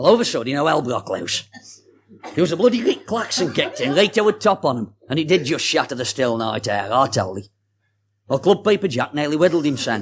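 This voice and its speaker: A man with a Staffordshire accent speaks at a fairly high pitch. His pace is very fast, with very wide pitch swings. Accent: Stoke-on-Trent (Potteries). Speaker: storyteller and author. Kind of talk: reading aloud a dialect story.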